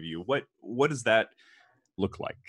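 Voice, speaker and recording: A man talks at a fairly quick pace with a medium pitch and lively intonation. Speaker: podcast host and engineer. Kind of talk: interview.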